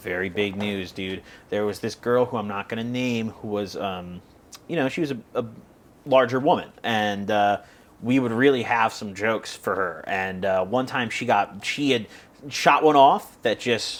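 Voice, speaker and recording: Here is a man with a plain, everyday voice, medium pitch, ordinary pitch variation and a moderate pace. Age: 20s. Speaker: podcast host. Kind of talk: casual chat. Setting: outdoors.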